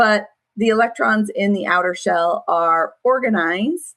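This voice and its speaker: Recorded dry and close with no echo, a woman uses a plain, everyday voice at a medium pitch with ordinary pitch variation. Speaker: online school science teacher. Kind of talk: class review lecture. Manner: casual, with many fillers.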